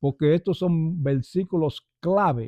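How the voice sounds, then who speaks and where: This man talks very slowly. His voice is fairly high in pitch. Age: 70s. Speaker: church elder. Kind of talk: testimony.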